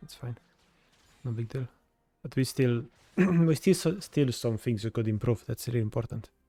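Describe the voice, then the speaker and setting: A man speaks at medium pitch and a moderate pace, with a dark, mellow tone and lively intonation. His voice is somewhat breathy, and the sound is dry and close with no echo. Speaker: video game coach. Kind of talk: coaching session review.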